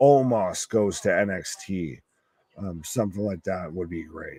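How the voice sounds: A man speaks with a gravelly, low voice and ordinary pitch variation.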